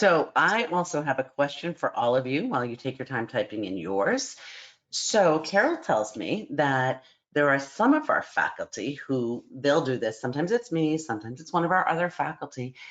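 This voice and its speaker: A woman's very deep, low pitch with very wide pitch swings. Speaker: psychology program director. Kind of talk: online information session presentation. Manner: fast.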